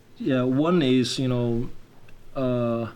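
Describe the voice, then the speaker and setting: A man's voice against noticeable background noise. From China (Lianyungang). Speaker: YouTuber. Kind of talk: casual chat. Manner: halting.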